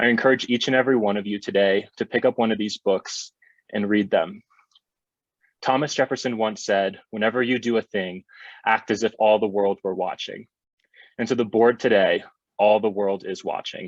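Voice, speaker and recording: A man at a fairly low pitch and a moderate pace, with long, frequent pauses, in a dry, close sound with no echo. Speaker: student speaking at public comment. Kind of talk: prepared public comment speech. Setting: video call. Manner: impassioned.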